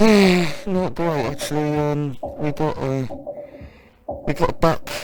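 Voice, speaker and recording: A man puts on a character voice, pitching it fairly high and talking fairly slowly. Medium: audio drama. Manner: weary, sighing.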